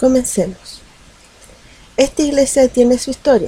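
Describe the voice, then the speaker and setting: A high-pitched woman at a moderate pace, with noticeable background noise. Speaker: storyteller narrating legends. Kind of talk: scripted-style legend narration, storytelling. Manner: measured, storyteller cadence with intrigue.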